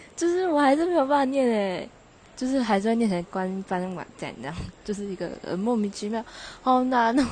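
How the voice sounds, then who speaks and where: The speaker talks at a fairly quick pace with very wide pitch swings, in a Taichung accent. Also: woman, fairly high pitch for a woman. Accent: Taichung Mandarin. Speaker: podcaster. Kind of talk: casual monologue. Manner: laughing, halting.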